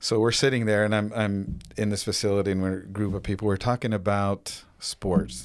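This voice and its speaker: In a plain, everyday voice, a man speaks at a moderate pace with fairly low pitch and ordinary pitch variation, recorded very cleanly against a silent background. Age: 50s. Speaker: nursing home administrator and gym owner. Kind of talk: casual interview conversation. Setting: studio, in person.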